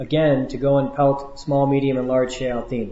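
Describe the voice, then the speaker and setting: Over audible room echo, a man speaks at a fairly high pitch. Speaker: Hajj group religious teacher. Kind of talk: instructional lecture. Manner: fast; casual, laid back.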